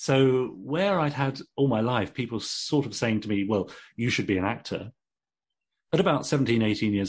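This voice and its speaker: Against a quiet background, a man with an English accent talks at a moderate pace in a medium pitch, his intonation lively. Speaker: actor and novelist. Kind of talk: interview.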